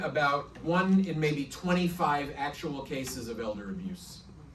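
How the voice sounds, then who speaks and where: In a room with audible echo, a man with an American accent and a fairly high pitch talks at a fairly slow pace with ordinary pitch variation. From New York. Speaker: prosecutor. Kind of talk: presentation talk.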